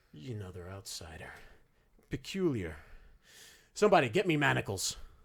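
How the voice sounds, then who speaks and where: Using a put-on character voice, a man speaks at a medium pitch. The pace is moderate. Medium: actual play. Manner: pompous, officious.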